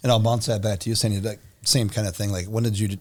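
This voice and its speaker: A man talks at a fairly quick pace in a normal speaking voice. His pitch sits fairly low. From Minnesota. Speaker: mayor and podcast host. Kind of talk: casual interview.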